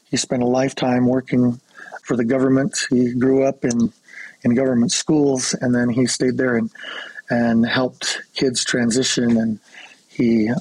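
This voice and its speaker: Dry and close with no echo, the recording holds a man speaking at a fairly slow pace with an American accent. He has a plain, everyday voice, medium pitch and fairly even intonation. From Colorado, US Southwest. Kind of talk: interview.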